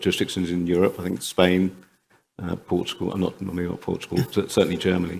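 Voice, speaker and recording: On a very clean recording with a silent background, a man with a British accent speaks in a very deep, low voice. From UK. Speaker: panel moderator. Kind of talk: conference panel discussion.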